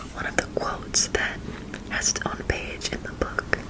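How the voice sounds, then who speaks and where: A woman whispers at a fairly slow pace. Noticeable background noise can be heard behind her. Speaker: ASMR artist. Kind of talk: ASMR book reading, whispered. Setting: close-mic ASMR recording. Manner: whispered, soft, slow.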